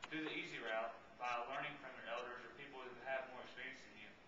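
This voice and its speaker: Very fast male speech amid noticeable background noise and audible room echo. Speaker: speaker. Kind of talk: baccalaureate speech. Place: church. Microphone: camera far.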